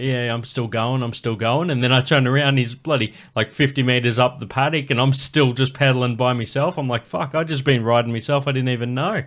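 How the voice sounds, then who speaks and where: With an Australian accent, a man talks at a fairly quick pace. His pitch is medium and his intonation fairly even. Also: very clean recording, silent background. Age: 30s. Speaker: comedian and podcast host. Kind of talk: casual chat.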